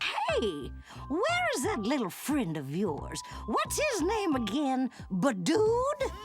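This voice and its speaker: Over clear music in the background, a cartoonish character voice speaks at a very slow pace. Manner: dopey.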